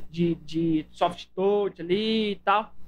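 This is a man with a high-pitched voice. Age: 20s. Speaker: podcast host. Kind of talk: casual chat.

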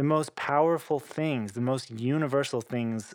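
A man with an American accent and an ordinary speaking voice, fairly slow and fairly even in intonation, on a very clean recording with a silent background. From Oklahoma, US. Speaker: cellist and composer. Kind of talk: interview conversation.

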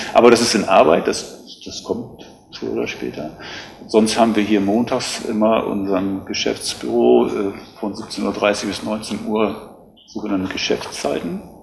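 The speech moves at a fairly slow pace with lively intonation. Noticeable background noise and audible room echo are present. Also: man, fairly low pitch for a man. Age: 50s. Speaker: lifeguard association official. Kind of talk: interview. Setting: on location at rescue station.

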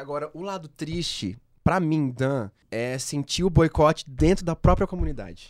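A man speaks in a normal speaking voice with a fairly high pitch and ordinary pitch variation. The recording is very clean, with a silent background. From Londrina, Paraná, Brazil. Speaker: pop singer. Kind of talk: casual chat.

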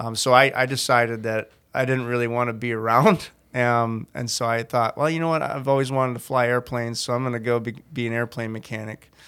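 The speaker is a man with a medium pitch. He moves at a fairly quick pace in a monotone, flat intonation. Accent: American. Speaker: church volunteer sharing testimony. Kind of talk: testimony. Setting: studio.

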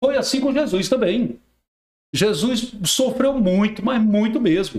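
With lively intonation, a man speaks in a high pitch at a fairly slow pace. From Rio Grande do Norte, Brazil. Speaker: radio and TV journalist. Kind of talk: casual chat.

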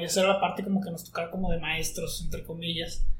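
Against noticeable background noise, a man with a high pitch and ordinary pitch variation talks at a fairly quick pace. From northern Mexico, Coahuila (Monclova). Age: 20s. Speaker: university student. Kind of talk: casual chat.

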